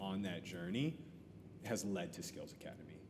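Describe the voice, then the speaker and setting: Music plays behind a man with an American accent whose pitch swings very widely, his voice carrying audible room echo. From US Midwest, Columbus, Ohio. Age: 30s. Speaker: educator. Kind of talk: casual interview chat. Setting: coffee shop.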